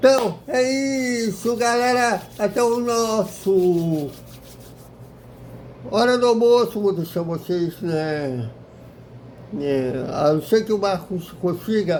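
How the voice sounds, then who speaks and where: A man's high-pitched voice at a very slow pace, with long, frequent pauses and noticeable background noise. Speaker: YouTube football club commentator. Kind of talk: casual video commentary. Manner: halting with repetitions.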